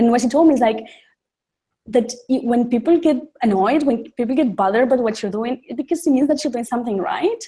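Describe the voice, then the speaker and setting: A dark, mellow tone at a fairly quick pace, with ordinary pitch variation. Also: woman, high pitch for a woman. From Uruguay. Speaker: human rights lawyer and youth activist. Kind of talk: interview. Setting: studio with audience. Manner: halting, many fillers and repetitions.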